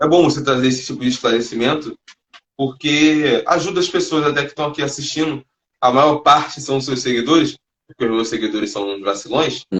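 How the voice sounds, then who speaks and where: Speaking at a fairly quick pace with a Rio de Janeiro accent, a man uses a fairly high pitch and ordinary pitch variation. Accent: Carioca Brazilian Portuguese. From Rio de Janeiro, Brazil. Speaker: live stream host, street evangelist. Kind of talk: casual chat. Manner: halting; heavy slang.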